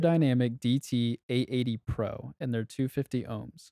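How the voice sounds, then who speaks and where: At a moderate pace, a man talks in a medium pitch with a dark, mellow tone and a dry, close sound with no echo. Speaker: music producer podcast co-host. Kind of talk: casual chat.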